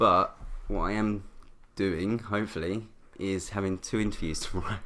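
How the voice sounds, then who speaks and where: Bright and sharp in tone, a man with a fairly low pitch speaks with fairly even intonation. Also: moderate pace. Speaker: podcast guest. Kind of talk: casual chat. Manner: monotone.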